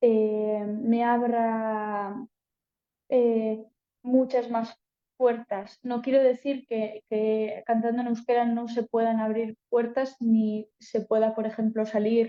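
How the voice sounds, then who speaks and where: With a Basque accent, a woman speaks at a very slow pace and a fairly high pitch. Her intonation is monotone and flat. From Basque Country, Spain. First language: Basque (speaking Spanish). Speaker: singer-songwriter. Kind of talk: panel talk. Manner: casual, hesitant.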